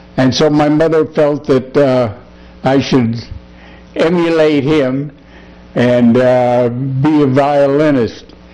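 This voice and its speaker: A man with a Chicago accent speaks very slowly, with long, frequent pauses, very even loudness and fairly even intonation over noticeable background noise. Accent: Chicago-area American. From US Midwest, Chicago area. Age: 80s+. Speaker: war veteran. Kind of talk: oral history interview. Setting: at his home. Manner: halting, many fillers.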